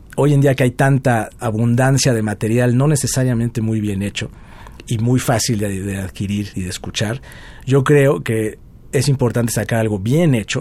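A man with a dark, mellow tone talks at a moderate pace and medium pitch, using ordinary pitch variation. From Mexico, Puebla. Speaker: guitarist. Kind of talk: interview.

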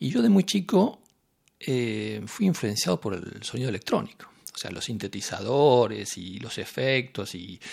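A man speaks at a fairly slow pace in a medium pitch, his voice making very wide pitch swings and big swings in loudness. The recording is very clean, with a silent background. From Argentina. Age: 50s. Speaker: composer. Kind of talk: interview. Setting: in Nice, France.

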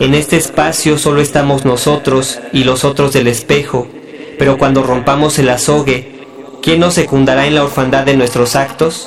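With noticeable background noise behind him, a man speaks at a moderate pace in a fairly high pitch, his loudness very even and his intonation monotone and flat. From Mexico City. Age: 20s. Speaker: poet. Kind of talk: poetry reading.

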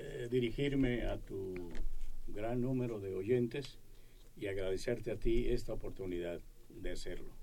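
There is audible room echo as a man talks at a fairly slow pace. His pitch varies in an ordinary way. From Mexico, Yucatán (Mérida). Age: 70s. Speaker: retired tenor singer. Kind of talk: radio interview.

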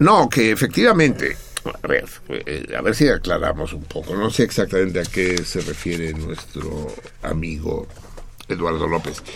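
Very deep and low, a man's voice moves with lively intonation at a fairly slow pace. Long, frequent pauses break it up, with noticeable background noise behind. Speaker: radio host. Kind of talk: casual chat.

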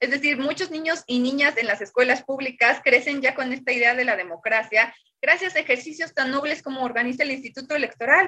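Projecting in a raised voice, a woman speaks at a high pitch and a fairly quick pace with hardly any pauses, a bright, sharp tone and ordinary pitch variation. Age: 30s. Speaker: politician. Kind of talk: radio debate.

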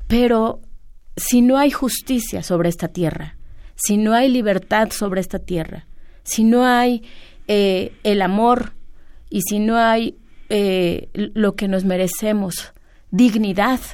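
Over a very clean recording with a silent background, a woman speaks at medium pitch with ordinary pitch variation, a very slow pace and long, frequent pauses. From Mexico, San Salvador Atenco. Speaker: land-rights activist. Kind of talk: radio interview.

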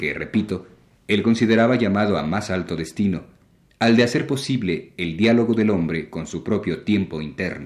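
Speaking at a moderate pace, a man has an unremarkable speaking voice, fairly low pitch and ordinary pitch variation. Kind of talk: radio lecture on literature. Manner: formal; measured, didactic.

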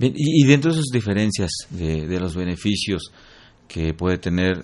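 A man's very deep, low voice at a fairly slow pace, with lively intonation against a quiet background. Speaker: radio host. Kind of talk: radio interview. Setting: studio. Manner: halting.

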